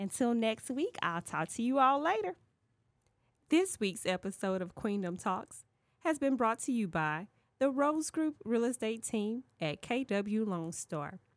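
A woman's playful tone at a fairly high pitch with very wide pitch swings, a fairly slow pace, and a dry, close sound with no echo on a very clean recording with a silent background. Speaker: podcast host and real estate agent. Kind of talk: casual interview conversation. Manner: playful, laughs often.

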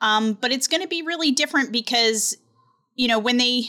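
A bright, sharp tone comes through in an American accent with very wide pitch swings. The recording is very clean, with a silent background. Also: woman. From US, Delaware. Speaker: tech news reporter. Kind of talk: casual interview. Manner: hesitant, many fillers.

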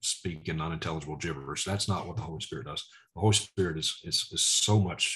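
Speaking at a moderate pace in a Southern US accent, a man sounds somewhat breathy, with ordinary pitch variation against a quiet background. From Mississippi. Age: 40s. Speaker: preacher. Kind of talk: testimony.

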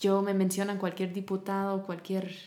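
With an English accent, a woman speaks at a medium pitch and moderate pace in a dark, mellow tone. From US South, Tennessee. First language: English (speaking Spanish). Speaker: charity founder working with women. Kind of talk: interview.

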